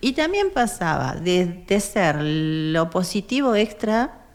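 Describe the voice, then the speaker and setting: Lively intonation marks this woman's medium-pitched voice. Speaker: activist, foundation president. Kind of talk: interview. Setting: studio.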